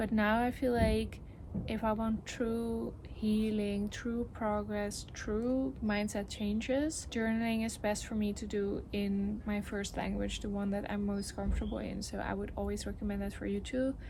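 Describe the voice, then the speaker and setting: A fairly slow delivery in a Dutch accent, with audible room echo. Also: woman. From Netherlands. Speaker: lifestyle vlogger. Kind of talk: vlog talking to camera. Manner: casual, reflective.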